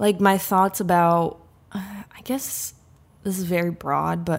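The delivery is very slow. Intonation stays fairly even. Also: woman. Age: 20s. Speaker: podcast co-host. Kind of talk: casual chat. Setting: video call.

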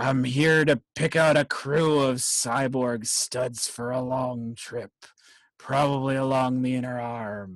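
Using a put-on character voice, a man talks at a fairly slow pace and a medium pitch. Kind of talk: pirate voice. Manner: gruff, swashbuckling.

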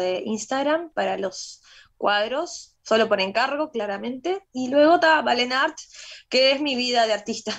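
Lively intonation and a moderate pace in a woman's unremarkable speaking voice. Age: 30s. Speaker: painter and singer. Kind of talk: radio interview.

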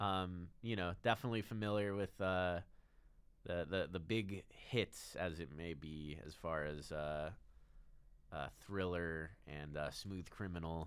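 A man with a very deep, low pitch, ordinary pitch variation and a fairly slow pace. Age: 20s. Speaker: studio technician at a community TV station. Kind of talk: casual chat. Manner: halting.

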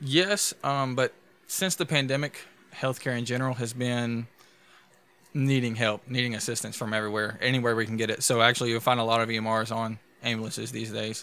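A man with a Louisiana accent, medium pitch, a bright, sharp tone, fairly even intonation and a fairly quick pace. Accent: Louisiana Southern US. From DeRidder, Louisiana. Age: 20s. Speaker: EMT and podcast co-host. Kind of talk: casual chat.

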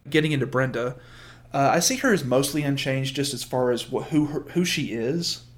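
A man with an American accent talks in an ordinary speaking voice at a fairly quick pace, with fairly high pitch and fairly even intonation. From US Deep South. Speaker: aspiring TV writer, podcast co-guest. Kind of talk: casual chat.

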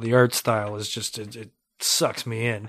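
A man talks fairly slowly at a medium pitch with monotone, flat intonation. The recording is very clean, with a silent background. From Ontario, Canada (Mississauga). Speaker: podcast host. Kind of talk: casual interview chat. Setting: studio.

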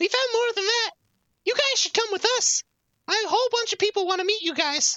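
The voice sits at an extremely high pitch. It moves at a fairly quick pace. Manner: eager, chirpy.

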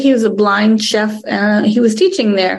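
A woman with an American accent, a normal speaking voice, fairly high in pitch with ordinary pitch variation. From Wisconsin (Green Bay). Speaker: TV show creator and producer. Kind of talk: presentation Q&A on cooking.

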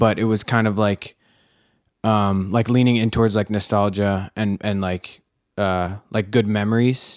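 In a very clean recording with a silent background, a man with an American accent speaks fairly slowly in a fairly low pitch, his intonation monotone and flat. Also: dry, close sound with no echo. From Philadelphia. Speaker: photographer. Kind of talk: casual chat.

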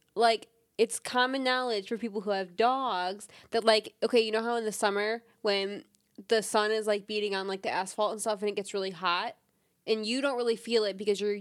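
Recorded very cleanly with a silent background, a woman with a normal speaking voice talks at a fairly quick pace, with fairly high pitch and fairly even intonation. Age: 20s. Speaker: host's girlfriend, recurring podcast guest. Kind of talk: casual chat.

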